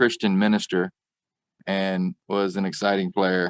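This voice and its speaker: A man in a Southern accent at a fairly slow pace, with dry, close sound and no echo. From US South, rural Arkansas. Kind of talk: interview.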